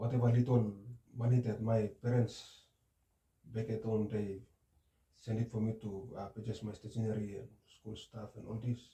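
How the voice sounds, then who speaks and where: A man speaks at a moderate pace in a medium-pitched, somewhat breathy voice with a dark, mellow tone. His intonation is monotone and flat, broken by long, frequent pauses. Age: 20s. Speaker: counseling client. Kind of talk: role-play counseling session. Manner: halting.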